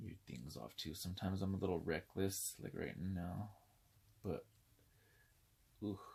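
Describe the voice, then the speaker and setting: A man speaks at a fairly slow pace in a very deep, low voice with vocal fry and lively intonation, leaving long, frequent pauses. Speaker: doll collector YouTuber. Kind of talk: unboxing video. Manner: casual, chatty.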